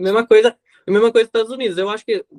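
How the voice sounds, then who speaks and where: A man speaks at a high pitch with a Spanish accent. His pitch varies in an ordinary way. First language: Spanish (speaking Portuguese). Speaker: podcast guest. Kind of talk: casual chat.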